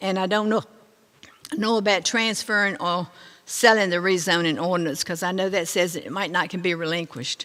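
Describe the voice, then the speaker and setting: A woman speaks in a Virginia accent at a fairly quick pace. Her voice sits at medium pitch with ordinary pitch variation. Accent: Southern US (Virginia). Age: 80s+. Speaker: resident speaking at public hearing. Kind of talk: public comment at meeting. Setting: county board meeting room.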